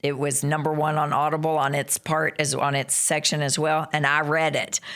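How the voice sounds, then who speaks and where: A moderate pace with an American accent. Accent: Southern US (self-described redneck accent). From western Kentucky, US South. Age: 50s. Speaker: nurse practitioner and author. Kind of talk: casual interview chat. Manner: animated.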